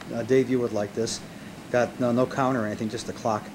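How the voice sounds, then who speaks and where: Monotone, flat intonation over noticeable background noise. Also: man. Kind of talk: casual home video narration. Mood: wry, joking. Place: home room. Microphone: old recording.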